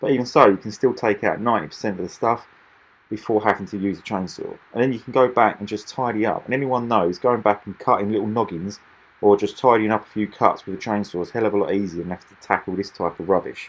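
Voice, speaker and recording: A man's fairly low voice at a very fast pace, with fairly even intonation and big swings in loudness. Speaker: machinery dealer. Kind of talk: product demonstration voiceover. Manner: casual, hesitant with repetitions.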